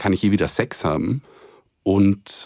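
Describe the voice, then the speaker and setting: A man speaks at a fairly slow pace in a very deep, low pitch. The sound is dry and close with no echo, on a very clean recording with a silent background. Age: 30s. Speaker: co-host, author and HIV activist. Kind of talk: personal testimony in interview. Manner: halting, many fillers and repetitions.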